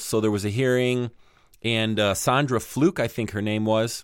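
A man's fairly low-pitched, a normal speaking voice, with fairly even intonation. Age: 40s. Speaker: podcast host. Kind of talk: casual chat. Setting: remote call with co-host.

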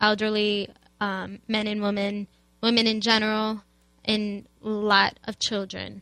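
The speaker has an American accent and a bright, sharp tone. Delivery is fairly slow, with monotone, flat intonation. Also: woman. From US Midwest, Chicago. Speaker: student activist. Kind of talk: radio interview.

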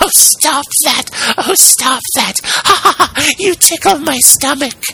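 A man does a put-on character voice at an extremely high pitch, speaking at a fairly slow pace. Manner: giggling, ticklish.

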